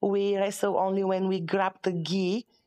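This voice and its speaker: The speaker has a non-native accent and a moderate pace. The background is quiet. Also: woman. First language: not English. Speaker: professional session wrestler and judo and sambo athlete. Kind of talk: casual interview chat. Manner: halting, non-native English.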